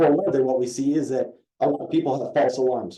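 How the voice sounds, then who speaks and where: A man talks at a fairly quick pace with ordinary pitch variation. His tone is dark and mellow. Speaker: police captain. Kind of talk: community meeting presentation. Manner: animated.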